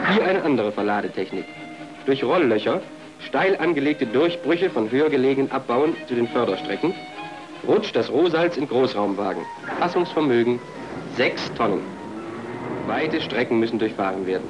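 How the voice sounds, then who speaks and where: Long, frequent pauses, very even loudness and very wide pitch swings, with music in the background. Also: man, medium pitch for a man, moderate pace. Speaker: film narrator. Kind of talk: promotional documentary narration.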